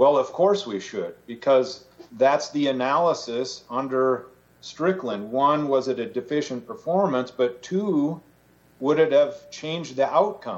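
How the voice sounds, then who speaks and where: This man has a fairly high pitch and an ordinary speaking voice. He talks at a fairly slow pace with lively intonation. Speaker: government prosecutor. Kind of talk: oral argument. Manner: formal.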